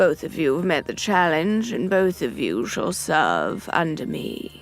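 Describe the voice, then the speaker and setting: Against faint music in the background, a woman with a fairly low pitch uses a put-on character voice at a fairly slow pace. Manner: cold, authoritative.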